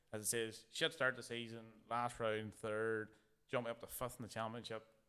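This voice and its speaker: At a moderate pace, a man speaks in a medium pitch with a bright, sharp tone and monotone, flat intonation. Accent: Northern Irish. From Ireland. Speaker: drift racing driver. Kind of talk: casual chat.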